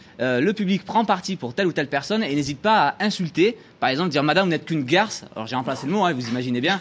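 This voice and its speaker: Talking at a very fast pace, a man with a Marseille accent has a fairly high pitch and lively intonation. Noticeable background noise runs underneath. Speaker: TV columnist. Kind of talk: TV studio chronicle presentation. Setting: TV studio with audience.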